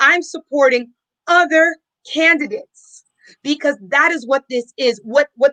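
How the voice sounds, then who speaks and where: Projecting a raised voice at a moderate pace, a woman speaks in a high pitch with a bright, sharp tone, ordinary pitch variation, and a dry, close sound with no echo. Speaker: political candidate. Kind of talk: panel discussion.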